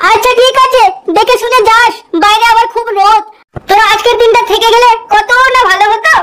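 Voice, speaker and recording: In a cartoonish character voice, a woman speaks at an extremely high pitch, monotone and flat, with very even loudness. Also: moderate pace. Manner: warm, weary.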